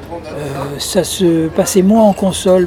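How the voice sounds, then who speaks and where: Noticeable background noise sits behind a man speaking with a high pitch. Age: 70s. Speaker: retired magazine publisher, former singer. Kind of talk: interview. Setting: restaurant terrace by the beach, windy.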